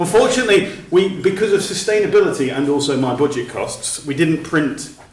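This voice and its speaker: Over noticeable background noise, the speaker goes at a fairly quick pace with very wide pitch swings. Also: man. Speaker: outdoor sports policy advocate. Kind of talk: presentation at a meeting. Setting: meeting room with audience.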